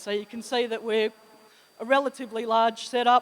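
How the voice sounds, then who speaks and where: A woman with an Australian accent speaks at a moderate pace. Her pitch is fairly high and her intonation fairly even. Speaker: sales manager. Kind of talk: conference presentation.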